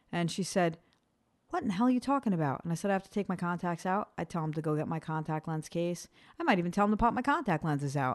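Speaking at a very fast pace, a woman uses a fairly low pitch and lively intonation. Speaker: podcast co-host. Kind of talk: casual banter podcast. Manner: laughing, playful.

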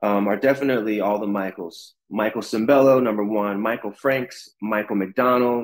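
Here a man talks at medium pitch and a moderate pace with ordinary pitch variation, in an ordinary speaking voice. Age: 30s. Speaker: singer and actor. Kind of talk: interview. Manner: casual, relaxed.

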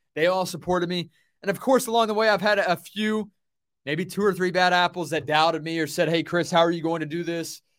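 On a very clean recording with a silent background, the talking runs fairly quickly. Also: man, high pitch for a man. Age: 20s. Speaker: podcast host and radio producer. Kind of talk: solo podcast monologue. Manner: animated.

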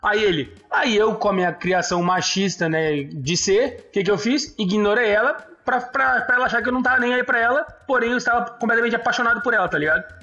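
Over noticeable background noise, a man with a high-pitched voice speaks with lively intonation, very even loudness and hardly any pauses. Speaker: podcast co-host. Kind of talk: casual chat.

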